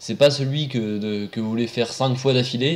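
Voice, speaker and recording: Here is a man with an unremarkable speaking voice. He talks at a moderate pace with ordinary pitch variation. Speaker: roller coaster video presenter. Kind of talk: casual commentary narration. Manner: casual, sarcastic.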